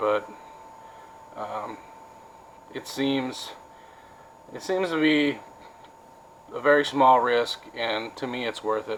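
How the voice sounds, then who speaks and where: At a very slow pace and with long, frequent pauses, a man speaks in an American accent. His pitch is medium with ordinary variation, over noticeable background noise. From Wisconsin. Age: 40s. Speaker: vlogger. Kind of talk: casual vlog monologue. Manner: halting, many fillers.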